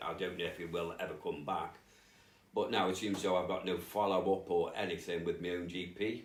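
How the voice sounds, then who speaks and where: The room echo is audible. A man talks at a fairly quick pace. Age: 50s. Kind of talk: testimony. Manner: halting.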